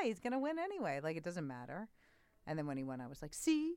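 A woman is talking. She speaks with a New York accent. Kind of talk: casual chat.

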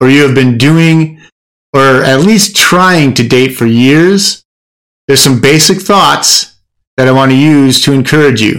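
A man with an ordinary speaking voice talks at a fairly slow pace. His pitch is fairly high, with ordinary pitch variation. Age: 50s. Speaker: podcast host and men's coach. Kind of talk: casual advice monologue.

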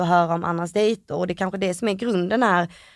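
The speech runs at a very fast pace with fairly even intonation. The recording is very clean and the background silent. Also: woman. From Malmö, Sweden. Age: 20s. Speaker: reality TV contestant. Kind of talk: interview. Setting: studio.

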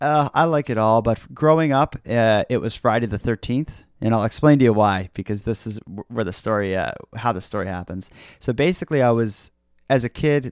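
The speaker has a Canadian Maritime accent and ordinary pitch variation, on a very clean recording with a silent background. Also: man. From Nova Scotia, Canada. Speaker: podcaster. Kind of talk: casual interview chat. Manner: fast talker, excitable.

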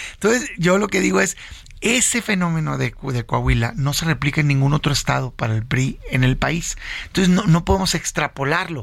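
Somewhat breathy and fairly high, the man's voice moves at a fairly quick pace with very wide pitch swings. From Mexico, Sonora (Hermosillo). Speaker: senator and opposition party leader. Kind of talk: political interview. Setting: radio studio.

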